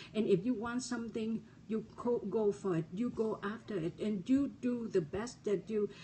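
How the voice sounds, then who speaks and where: Somewhat breathy and fairly high-pitched, a woman with a non-native accent speaks at a moderate pace with ordinary pitch variation. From refugee, resettled abroad. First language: not English. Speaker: motivational speaker. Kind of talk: motivational talk. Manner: halting, repeated words.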